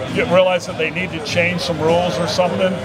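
Over noticeable background noise and audible room echo, a man speaks at a very fast pace in a high voice. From rural area. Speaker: podcast host and pizza shop owner. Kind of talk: casual interview chat. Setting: outdoors in front of a pizzeria.

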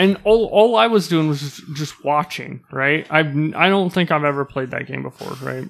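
A man uses a plain, everyday voice with a fairly high pitch and ordinary pitch variation. He talks at a moderate pace with hardly any pauses. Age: 30s. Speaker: podcast co-host. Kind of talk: casual chat.

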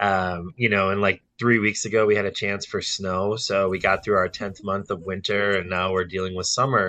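A man with an American accent has an unremarkable speaking voice and fairly low pitch. He keeps a moderate pace against a quiet background. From Wisconsin, Milwaukee area. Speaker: financial advisor. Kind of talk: casual interview chat.

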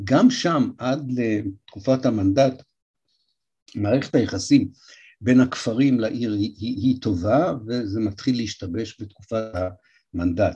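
A man speaks at a very slow pace with long, frequent pauses, his pitch medium and its variation ordinary. His voice is somewhat breathy with a dark, mellow tone, against a quiet background. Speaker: historian lecturer. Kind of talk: lecture.

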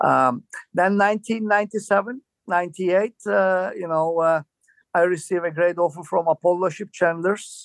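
A very slow delivery with ordinary pitch variation, dry and close with no echo, on a very clean recording with a silent background. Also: man, high pitch for a man. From Turkey, Istanbul. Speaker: cruise ship food and beverage manager. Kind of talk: interview storytelling.

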